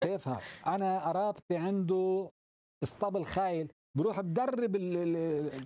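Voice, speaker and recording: The voice has a dark, mellow tone, ordinary pitch variation, and very even loudness. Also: man, high pitch for a man, fairly slow pace. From Lebanon. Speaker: actor and playwright; interview guest. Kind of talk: interview. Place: studio. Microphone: lapel.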